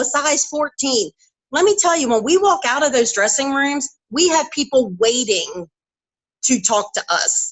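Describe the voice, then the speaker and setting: A loud, high-pitched woman's voice with an animated tone, at a fairly slow pace. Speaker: network marketing seller, former truck driver. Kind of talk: motivational talk on live stream.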